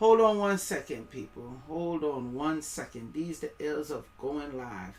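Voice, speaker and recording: This woman has a West Indian accent and an animated tone. She talks at a fairly slow pace. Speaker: livestreamer. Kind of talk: live stream commentary. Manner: casual, animated; stumbling, tongue-tied.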